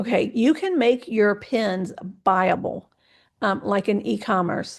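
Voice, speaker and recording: Here a woman talks at a fairly slow pace and medium pitch, with vocal fry. Her pitch varies in an ordinary way, and the background is quiet. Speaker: social media consultant presenting a workshop. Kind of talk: webinar presentation. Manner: hesitant, many fillers.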